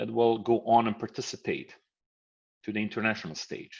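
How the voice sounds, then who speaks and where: With an Italian accent, a man speaks at a medium pitch. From Italy. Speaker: professor and mediator. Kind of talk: lecture. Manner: halting.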